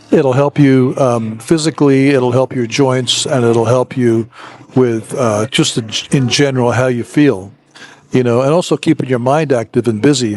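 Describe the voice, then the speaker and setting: At a moderate pace, a man with a medium pitch speaks with fairly even intonation and very even loudness, the sound dry and close with no echo despite noticeable background noise. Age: 70s. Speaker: YouTuber and missionary. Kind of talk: casual vlog monologue. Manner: hesitant with fillers.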